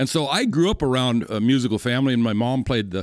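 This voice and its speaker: A man with an American accent speaks at a fairly quick pace and a medium pitch. His pitch varies in an ordinary way, and the recording is very clean with a silent background. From western South Dakota. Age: 60s. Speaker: rancher and cowboy poet musician. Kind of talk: casual interview chat. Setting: studio.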